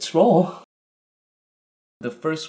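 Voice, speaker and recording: With a Vietnamese accent, a man speaks at a fairly slow pace. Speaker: YouTuber. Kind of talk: casual tutorial. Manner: casual.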